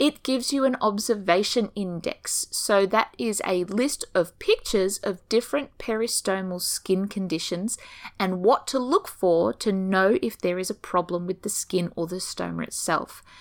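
A woman with an Australian accent speaks at a moderate pace and medium pitch in an enthusiastic tone, with ordinary pitch variation and hardly any pauses. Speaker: ostomy nurse and podcast host. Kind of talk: informative podcast monologue, casual. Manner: chatty, humorous, enthusiastic.

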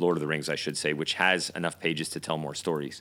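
A man with a very deep, low pitch and a bright, sharp tone speaks in a monotone, flat way. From UK. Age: 40s. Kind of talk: casual chat.

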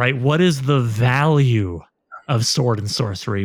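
A man with a normal speaking voice talks at a moderate pace, his pitch medium with ordinary variation. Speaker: podcast host and novelist. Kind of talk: casual interview chat; scripted outro.

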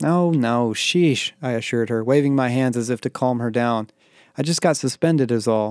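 Pitch varies in an ordinary way here. It is an unforced reading voice.

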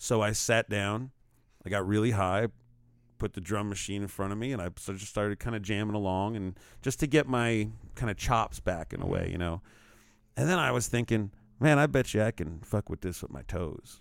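A man speaks fairly quickly in an ordinary speaking voice. His pitch is fairly low, with ordinary variation. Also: very clean recording, silent background. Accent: American. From New York. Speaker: musician and performance artist. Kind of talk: casual chat. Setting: studio.

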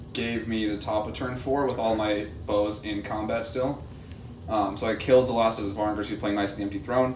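In an ordinary speaking voice, a man speaks at a fairly quick pace with fairly low pitch and fairly even intonation. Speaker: tournament player. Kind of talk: casual banter. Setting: live at a tournament event.

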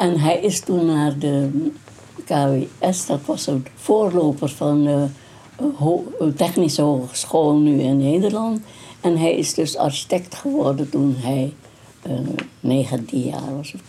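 A woman with a very deep, low voice speaks at a very slow pace with ordinary pitch variation and long, frequent pauses over noticeable background noise. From Dutch East Indies (Indonesia), Moluccan family. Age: 90s. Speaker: grandmother interviewed about her life. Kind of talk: oral history interview. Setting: at her home.

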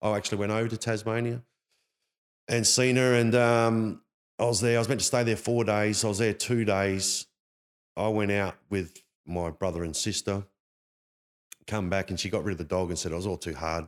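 A man's fairly low voice with an Australian accent, ordinary pitch variation and long, frequent pauses. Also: moderate pace, very clean recording, silent background. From Perth, Australia. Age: 40s. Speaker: former homeless man sharing life story. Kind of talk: casual chat.

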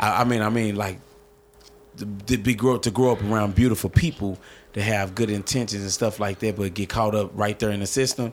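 With fairly even intonation, a man speaks fairly quickly at a fairly low pitch. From US Midwest, North St. Louis, Missouri. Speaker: stand-up comedian. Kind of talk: casual interview chat.

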